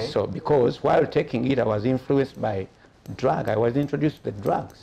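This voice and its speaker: With a dark, mellow tone and medium pitch, a man talks at a fairly quick pace with ordinary pitch variation over light background noise. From Uganda. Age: 60s. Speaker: musician, guitarist. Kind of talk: interview answer. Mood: calm, reflective. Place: shop. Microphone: lapel.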